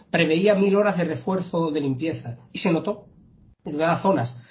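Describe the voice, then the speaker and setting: The speaker is a man, and his delivery comes at a very fast pace. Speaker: local political candidate. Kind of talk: interview. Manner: hesitant, repeats words.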